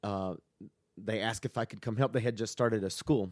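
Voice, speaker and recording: A man with a Southern US accent speaks at a fairly quick pace in a fairly low pitch, his pitch varying in an ordinary way, recorded dry and close with no echo. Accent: Southern US (Georgia). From US South, Georgia (Statesboro, near Savannah). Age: 30s. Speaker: pastor. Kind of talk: casual chat.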